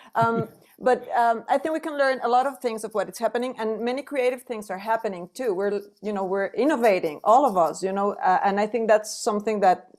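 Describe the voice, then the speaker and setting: Her voice sits at a fairly high pitch, with ordinary pitch variation and a moderate pace. This woman is heard on a very clean recording with a silent background. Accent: strong Mexican. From Mexico. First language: Spanish. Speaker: singer. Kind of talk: panel conversation.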